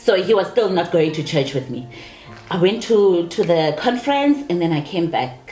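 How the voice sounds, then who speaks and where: Speaking at a very deep, low pitch, a woman uses an animated tone and lively intonation at a moderate pace. Noticeable background noise and audible room echo fill the recording. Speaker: married guest. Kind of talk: interview. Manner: loud.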